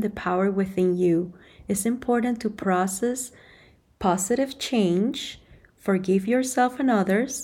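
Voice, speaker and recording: At a fairly slow pace, a woman with medium pitch speaks in an unremarkable speaking voice. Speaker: podcast host. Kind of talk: casual chat.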